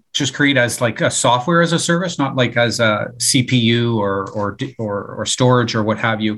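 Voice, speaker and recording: On a very clean recording with a silent background, a man of medium pitch speaks at a fairly slow pace in an unremarkable speaking voice. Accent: Canadian. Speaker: podcast host and IT executive. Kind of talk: interview.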